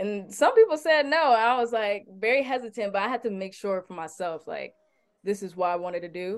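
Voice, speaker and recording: With an American accent and an ordinary speaking voice, a woman at medium pitch talks at a fairly quick pace, her intonation lively and her loudness swinging widely. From Detroit, Michigan, US. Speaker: R&B singer. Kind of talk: interview. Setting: remote call.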